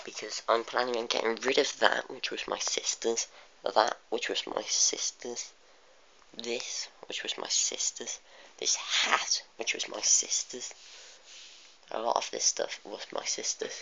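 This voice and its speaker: Someone whispers with a British accent against noticeable background noise. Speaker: model train reviewer. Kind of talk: video review, casual. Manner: halting, many fillers.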